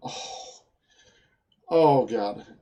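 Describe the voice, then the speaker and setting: Speaking with a Swedish accent, a man has a dark, mellow tone. His intonation is lively. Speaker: programming teacher. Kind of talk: tutorial. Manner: halting, many fillers and repetitions.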